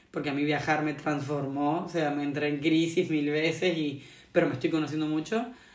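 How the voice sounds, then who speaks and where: A fairly low-pitched woman's voice with audible room echo. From Argentina. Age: 20s. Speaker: traveller and yoga practitioner. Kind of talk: interview, casual conversation.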